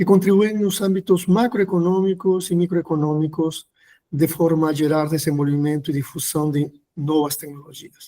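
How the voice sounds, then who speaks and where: A man with a Peruvian accent speaks at a fairly high pitch. His tone is dark and mellow. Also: ordinary pitch variation, moderate pace. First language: Spanish (speaking Portuguese). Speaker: professor. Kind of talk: lecture. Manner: hesitant, many fillers.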